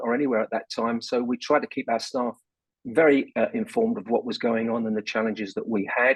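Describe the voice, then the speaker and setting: A man speaks with a London accent at a fairly quick pace. His medium pitch shows ordinary variation. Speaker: business leader, board chairman. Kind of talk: radio interview.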